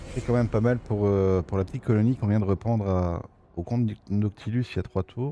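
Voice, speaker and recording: A fairly quick man's voice with a Belgian accent, fairly low in pitch, with ordinary pitch variation. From Belgium. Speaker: gaming streamer. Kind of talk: gameplay commentary. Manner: casual, hesitant with many fillers. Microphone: new microphone.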